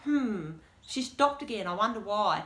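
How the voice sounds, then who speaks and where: A woman with an Australian accent speaks in an animated tone. Room echo is audible, along with noticeable background noise. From Australia, rural western Victoria. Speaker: deafblind guide dog client speaker. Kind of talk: presentation Q&A.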